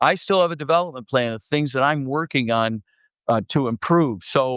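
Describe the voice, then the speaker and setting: A man with a fairly high voice speaks at a moderate pace, his pitch varying in an ordinary way. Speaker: company CEO. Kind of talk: interview conversation. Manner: loud and passionate; animated, talks with hands.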